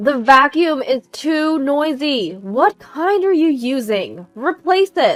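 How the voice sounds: A woman's put-on character voice, high in pitch and fairly bright in tone, with big pitch swings, a slow pace, and faint music in the background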